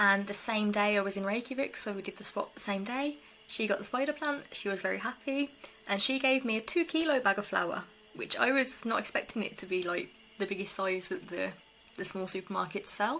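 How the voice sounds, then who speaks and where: This woman speaks with a British accent. Her intonation is lively. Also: medium pitch for a woman, fairly quick pace. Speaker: eco-living vlogger. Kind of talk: casual vlog talk.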